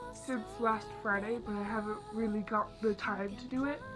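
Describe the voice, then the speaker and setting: Over music in the background, a woman speaks at a moderate pace and a fairly high pitch in an excited tone. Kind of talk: casual talk to camera. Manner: excited, chatty.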